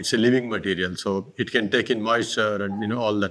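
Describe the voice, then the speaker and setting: This is a man with a Karnataka accent. His tone is bright and sharp. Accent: Indian English, Kannada. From India, Karnataka. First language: Kannada. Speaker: artist. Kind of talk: interview about his art. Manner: halting.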